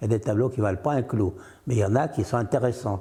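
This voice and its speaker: A man's somewhat breathy voice at medium pitch, dark and mellow in tone, with ordinary pitch variation. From France, Loire region (Roanne area). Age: 80s+. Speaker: painter. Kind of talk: interview. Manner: animated; casual, conversational.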